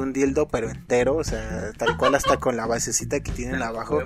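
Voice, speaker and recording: A man at a moderate pace with a Mexican accent, music in the background. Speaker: podcast host. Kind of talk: casual chat.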